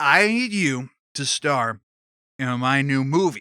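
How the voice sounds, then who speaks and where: This is a put-on character voice at a low-to-middle pitch. It moves at a fairly slow pace. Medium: read story. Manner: grandiose, showbiz.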